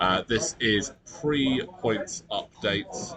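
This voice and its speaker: A quiet man's voice amid noticeable background noise. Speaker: tournament commentator. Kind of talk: live commentary. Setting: convention hall with players nearby. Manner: casual, conversational; kept quiet to avoid distracting players.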